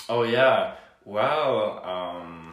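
Lively intonation carries this voice with a Hungarian accent. Noticeable background noise sits behind it. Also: man. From Hungary. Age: 20s. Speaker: university student. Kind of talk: casual interview. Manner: cheerful, laughs often.

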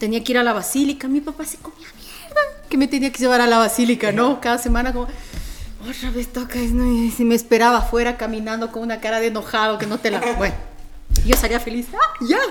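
A woman speaks fairly quickly at a high pitch with big swings in loudness. Noticeable background noise can be heard. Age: 40s. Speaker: radio host and voiceover artist. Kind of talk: casual podcast interview. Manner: animated.

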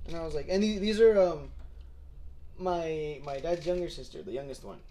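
There is audible room echo as a man talks at a very fast pace. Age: 20s. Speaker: podcast co-host. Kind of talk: casual chat.

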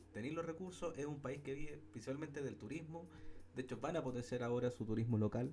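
Music plays behind a man speaking at a very fast pace. His pitch is medium, with ordinary variation. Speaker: podcast co-host. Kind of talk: casual chat.

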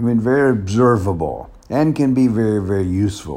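In a Southern US accent, a man talks at a fairly slow pace with ordinary pitch variation. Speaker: pastor. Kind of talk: casual monologue. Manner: halting.

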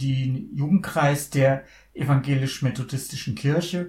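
At a fairly slow pace, the speech carries ordinary pitch variation and a somewhat breathy quality. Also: man. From Bavaria, Lower Franconia (Miltenberg), schooled in Munich. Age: 60s. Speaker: blind church organist. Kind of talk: casual interview conversation. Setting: studio, sitting face to face.

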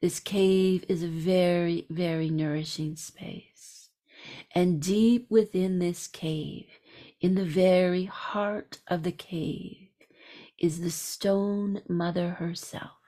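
Very slowly and with fairly even intonation, a woman speaks in a soothing, calm tone that is dark and mellow, her pitch fairly low. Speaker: spiritual practitioner leading a meditation. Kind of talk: guided meditation. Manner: slow, soft-spoken, soothing; calm, unhurried, with long pauses.

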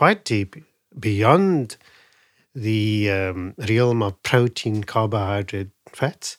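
A man's fairly low voice at a very slow pace, with a dry, close sound and no echo. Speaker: Ayurvedic doctor. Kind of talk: interview.

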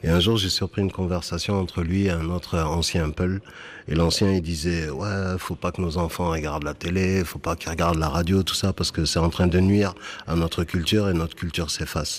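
A man speaks fairly quickly in a very deep, low pitch. His intonation is monotone and flat. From France, Bordeaux (Senegalese Fula family). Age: 40s. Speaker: slam poet. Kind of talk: interview in a radio report.

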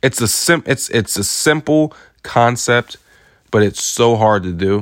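The very clean recording with a silent background captures an animated tone at a fairly slow pace. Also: man. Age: 20s. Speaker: motivational podcast host. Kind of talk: solo motivational monologue. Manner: animated, repetitive emphasis.

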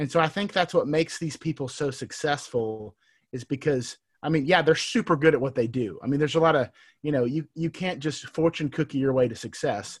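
A man with an American accent talks at a fairly quick pace in a somewhat breathy, fairly high voice with ordinary pitch variation, on a very clean recording with a silent background. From Texas. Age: 30s. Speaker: entrepreneur. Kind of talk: casual interview.

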